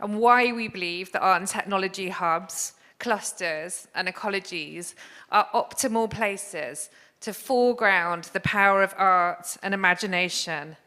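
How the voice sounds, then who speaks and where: Against a silent background in a very clean recording, a woman with an English accent talks at a fairly slow pace in a bright, sharp tone. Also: medium pitch for a woman, ordinary pitch variation. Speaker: arts organisation director. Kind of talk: conference talk.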